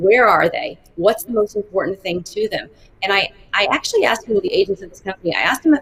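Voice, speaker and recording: This woman speaks at a medium pitch and a very fast pace. Her tone is energetic. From Arkansas, US South (Fayetteville). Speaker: marketing executive. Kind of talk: interview.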